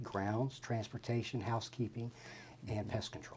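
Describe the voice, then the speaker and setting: Fairly quick speech from a man at a medium pitch. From West Virginia, with childhood in London. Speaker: army veteran, new staff member. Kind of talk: interview.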